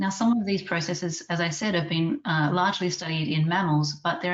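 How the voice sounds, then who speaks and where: A woman with an Australian accent talks at a fairly quick pace, her fairly low pitch showing ordinary variation. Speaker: scientist and webinar chair. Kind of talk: webinar introduction. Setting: online webinar. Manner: formal.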